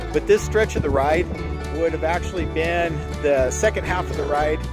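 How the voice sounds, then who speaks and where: Over clear music in the background, a man talks at a moderate pace in a dry sound with no echo. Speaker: motorcycle vlogger. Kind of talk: casual vlog chat. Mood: cheerful, relaxed. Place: open country. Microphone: phone near.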